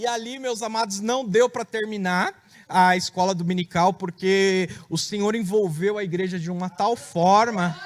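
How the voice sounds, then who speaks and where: Noticeable background noise sits behind a man with a high pitch. His intonation is fairly even. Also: fairly slow pace. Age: 30s. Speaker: preacher giving testimony. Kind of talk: testimony.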